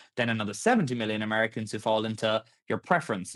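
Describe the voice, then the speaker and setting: He speaks with an Irish accent at a medium pitch. The man's pace is very fast. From Ireland. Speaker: tech startup founder. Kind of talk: podcast interview.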